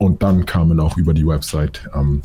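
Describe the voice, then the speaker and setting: A man with a very deep, low voice talks at a moderate pace over noticeable background noise. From Munich, Bavaria. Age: 20s. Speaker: photographer and videographer. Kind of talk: interview.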